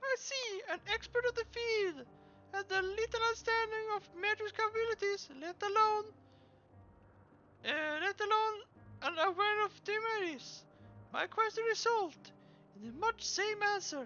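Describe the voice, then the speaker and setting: A put-on character voice with an extremely high pitch moves at a moderate pace. It has long, frequent pauses. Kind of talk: streamer reading game dialogue aloud. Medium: game stream. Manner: halting, stumbling read-aloud.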